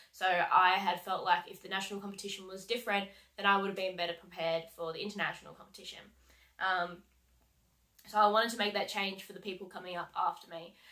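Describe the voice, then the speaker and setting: Bright and sharp in tone, a woman speaks at a very fast pace. Her intonation is monotone and flat, over a quiet background. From Australia. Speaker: heavy vehicle mechanic and coach. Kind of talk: vlog monologue. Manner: casual, many fillers. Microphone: webcam.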